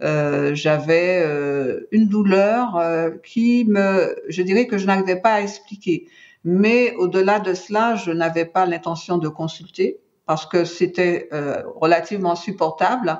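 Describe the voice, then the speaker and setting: Very slow pace with ordinary pitch variation. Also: woman, medium pitch for a woman. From Martinique. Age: 60s. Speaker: cancer survivor. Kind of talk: testimony. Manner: hesitant, many fillers.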